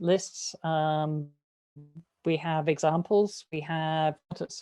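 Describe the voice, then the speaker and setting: A woman's very deep, low voice comes through monotone and flat, dry and close with no echo, over a quiet background. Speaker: disinformation security researcher. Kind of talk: lecture. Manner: hesitant, many fillers.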